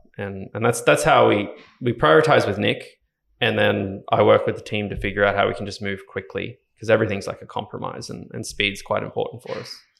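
A man with an Australian accent speaks at a fairly quick pace against a quiet background. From Ballina, Northern Rivers, New South Wales, Australia. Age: 20s. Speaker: software engineer and startup co-founder. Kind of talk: casual interview chat.

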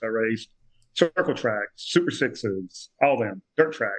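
In an American accent, a normal speaking voice moves at a moderate pace with ordinary pitch variation, the sound dry and close with no echo. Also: man. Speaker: amateur race car builder and driver. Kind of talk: casual chat. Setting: video call.

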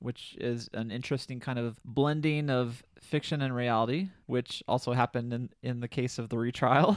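Barely pausing at all, a man talks at a medium pitch with fairly even intonation. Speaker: podcast co-host. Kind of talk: casual chat with scripted segments. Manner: reads fast.

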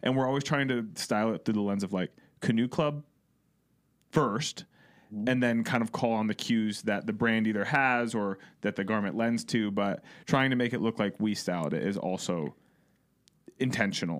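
A man with an American accent talks at a medium pitch and a moderate pace, with ordinary pitch variation and long, frequent pauses, on a very clean recording with a silent background. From Ohio. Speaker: podcast co-host. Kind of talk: casual chat.

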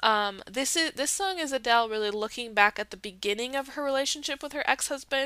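A woman's raised, projected voice, high-pitched with a bright, sharp tone, ordinary pitch variation, a fairly quick pace and hardly any pauses. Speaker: podcast host. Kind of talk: solo podcast commentary. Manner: casual with many fillers.

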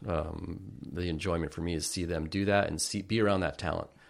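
A man with an ordinary speaking voice at a fairly quick pace, ordinary pitch variation, in a very clean recording over a silent background. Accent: American. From US West Coast, northern Santa Cruz County, California. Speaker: fish artist and angler. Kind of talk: casual chat.

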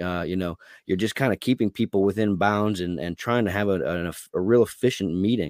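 Here a man talks at a fairly quick pace with a fairly low pitch and ordinary pitch variation. The recording is very clean with a silent background and a dry, close sound with no echo. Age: 30s. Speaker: attorney and party candidate. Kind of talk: casual interview. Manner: halting with fillers.

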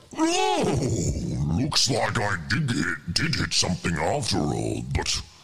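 Putting on a character voice, a man speaks at a fairly slow pace with very even loudness. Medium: actual play.

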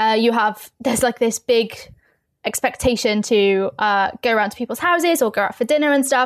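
The speaker talks at a fairly quick pace with a London accent. Loudness stays very even, with ordinary pitch variation. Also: woman, fairly high pitch for a woman. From East London, England. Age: 20s. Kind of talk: podcast interview.

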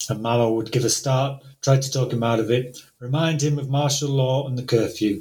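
A man talks at a moderate pace in a somewhat breathy voice, his intonation fairly even. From northern England. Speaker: translator. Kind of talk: interview conversation with readings. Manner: hesitant, many filler words.

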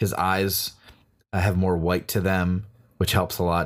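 A man with an ordinary speaking voice, fairly low in pitch, at a moderate pace, on a very clean recording with a silent background. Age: middle-aged. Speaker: comedy performer and podcast co-host. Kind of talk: casual chat.

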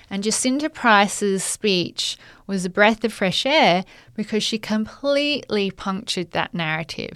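A woman's medium-pitched voice in an Australian accent, fairly slow and lively in intonation, on a very clean recording with a silent background. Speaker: podcast co-host, magazine editor. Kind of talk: casual chat.

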